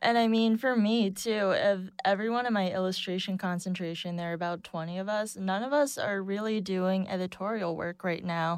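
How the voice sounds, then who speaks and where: A woman's plain, everyday voice with an American accent, medium pitch, fairly even intonation, a fairly quick pace and hardly any pauses, on a very clean recording with a silent background. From Boston. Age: 20s. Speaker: illustrator, recent graduate. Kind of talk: casual roundtable discussion. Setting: studio.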